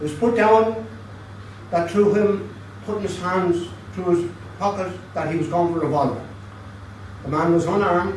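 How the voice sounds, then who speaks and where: Over light background noise and audible room echo, a man with a Dublin accent speaks at a moderate pace in a high pitch, with lively intonation and long, frequent pauses. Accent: Dublin Irish. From Dublin, Ireland; Ireland. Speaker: historian; speaker. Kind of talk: history talk. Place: bar.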